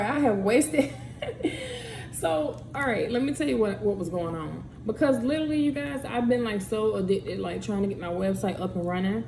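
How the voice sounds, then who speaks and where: The voice swings very widely in pitch, with noticeable background noise and audible room echo. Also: woman, medium pitch for a woman, fairly quick pace. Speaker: podcaster and YouTuber. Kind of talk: casual vlog talk.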